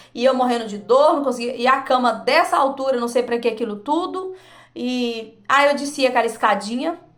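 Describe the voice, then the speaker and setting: Amid audible room echo, a woman with a high pitch and an animated tone speaks at a moderate pace with ordinary pitch variation. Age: 40s. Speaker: vlogger. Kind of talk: personal testimony.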